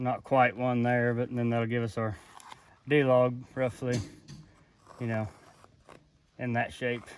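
At a slow pace with long, frequent pauses, a man talks at medium pitch with little pitch movement.

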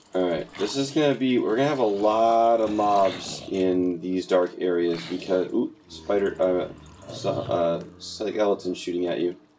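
With an American accent and a fairly low voice, a man speaks at a fairly slow pace with ordinary pitch variation, against noticeable background noise. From US Northeast, Boston. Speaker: gaming YouTuber. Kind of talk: casual gameplay commentary.

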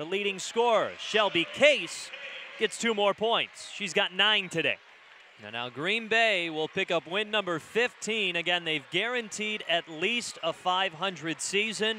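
Raised and projected, a man's high voice carries an energetic tone and lively intonation at a fairly slow pace, with a dry sound with no echo and light background noise. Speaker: play-by-play commentator. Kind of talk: live sports commentary. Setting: broadcast from arena. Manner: energetic, rising on big baskets. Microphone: headset.

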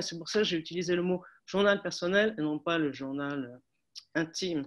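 A woman's fairly low voice at a moderate pace, with ordinary pitch variation and a quiet background. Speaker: academic seminar participant. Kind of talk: academic discussion. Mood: calm, collegial. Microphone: video call.

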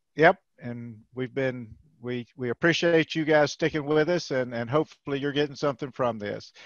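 A man at a fairly high pitch and a moderate pace, with ordinary pitch variation and a dry sound with no echo over a quiet background. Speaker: webinar moderator, extension educator. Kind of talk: webinar moderation and Q&A. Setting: video call. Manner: casual, hesitant with many fillers. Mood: friendly, welcoming. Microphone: video call.

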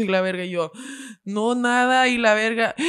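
Female voice over a quiet background. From Mexico. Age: 20s. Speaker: podcaster. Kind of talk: casual chat. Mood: animated, laughing storytelling. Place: studio. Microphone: studio mic.

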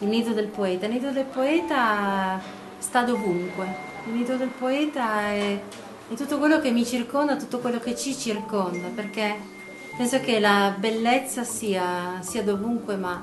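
A woman's voice at a fairly slow pace with ordinary pitch variation, over noticeable background noise. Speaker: poet or writer. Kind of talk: interview answer. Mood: reflective, calm. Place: garden. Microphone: phone near.

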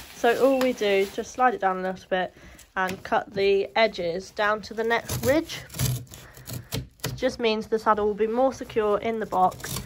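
A woman's voice with ordinary pitch variation and noticeable background noise. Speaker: shop staff demonstrating packing. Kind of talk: tutorial. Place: home room. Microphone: phone near.

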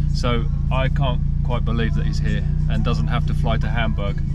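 Loud background noise sits under speech at a fairly quick pace, with a dry sound and no echo. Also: man. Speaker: vlogger driving a classic car. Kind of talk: casual vlog chat. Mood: upbeat, slightly anxious. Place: car. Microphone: phone near.

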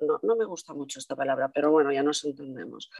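A woman's voice has a dark, mellow tone, with a dry, close sound and no echo. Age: 50s. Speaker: linguist and speech therapist. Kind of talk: testimony.

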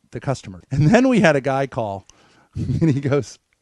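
Over a quiet background, a man speaks at a moderate pace, the sound dry with no echo. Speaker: co-host telling stories. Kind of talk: casual livestream storytelling. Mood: amused, playful. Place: home room. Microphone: headset.

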